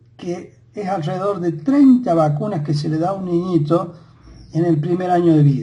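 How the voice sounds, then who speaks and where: Audible room echo surrounds a man whose high-pitched voice has a dark, mellow tone. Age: 60s. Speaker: lecturer on science and history. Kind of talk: monologue lecture. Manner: halting with many fillers.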